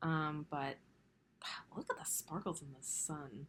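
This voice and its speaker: A soft-spoken, somewhat breathy voice moves at a moderate pace. The recording is very clean, with a silent background. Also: woman. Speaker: cross-stitch vlogger. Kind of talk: casual hobby vlog. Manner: casual, filler-heavy.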